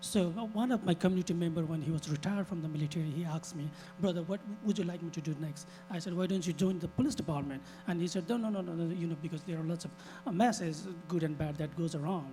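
Over music in the background, a man with a high-pitched voice talks at a very fast pace with ordinary pitch variation. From Nepal. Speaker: city council candidate, restaurant owner. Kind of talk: candidate forum answer. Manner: halting, repetitive restarts.

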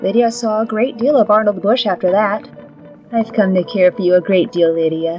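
Over music in the background, a woman speaks at medium pitch and moderate pace with ordinary pitch variation. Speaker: storyteller. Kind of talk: dramatic comic narration.

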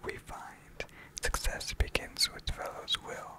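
Whispering and soft-spoken, someone talks at a very slow pace over noticeable background noise. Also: dry sound with no echo. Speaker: poetry reader. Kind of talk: reading poems aloud. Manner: soft ASMR whisper reading poetry.

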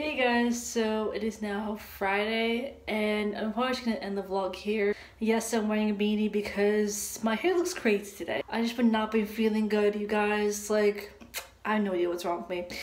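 A woman's fairly high-pitched voice at a moderate pace, with noticeable background noise. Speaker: vlogger. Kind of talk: casual vlog. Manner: casual, filler-heavy.

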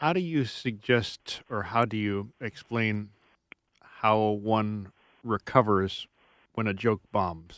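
A man's fairly low voice moves at a very slow pace with ordinary pitch variation, sounding dry with no echo over a quiet background. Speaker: radio host. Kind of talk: radio interview. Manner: formal. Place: studio.

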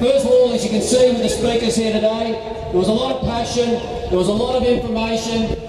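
Strong room echo and noticeable background noise surround a voice moving at a fairly quick pace with hardly any pauses. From Australia. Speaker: union rally organiser. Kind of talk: rally speech. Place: street.

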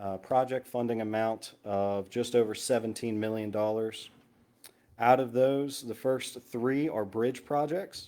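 At a fairly slow pace, a man speaks with a medium pitch, a dark, mellow tone and fairly even intonation. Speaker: engineering consultant presenting projects. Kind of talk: presentation to town council. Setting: town council meeting.

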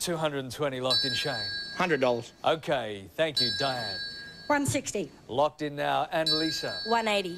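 Amid loud background noise, a man speaks at a very slow pace. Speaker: game show host. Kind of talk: game show hosting. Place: stage. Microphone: handheld.

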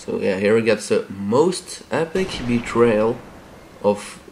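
Noticeable background noise fills the recording. Over it, a man speaks. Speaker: gaming video host. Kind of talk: casual gameplay commentary.

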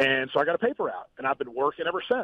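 A man in an American accent at a very fast pace. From West Virginia (Huntington). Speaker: gubernatorial candidate, businessman. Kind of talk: phone interview. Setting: phone call from a car.

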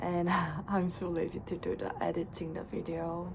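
At a fairly slow pace, a woman speaks over light background noise. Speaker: vlogger. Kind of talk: casual vlog chat. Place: home room. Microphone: phone near.

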